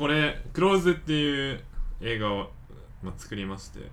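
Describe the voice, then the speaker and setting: With audible room echo, a man speaks at a moderate pace and medium pitch, his intonation lively. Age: 20s. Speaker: photographer and videographer. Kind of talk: casual chat.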